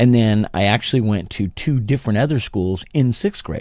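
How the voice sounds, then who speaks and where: With lively intonation and a fairly low pitch, a man talks at a moderate pace over a quiet background. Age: 60s. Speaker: podcast host. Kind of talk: casual monologue. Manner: halting.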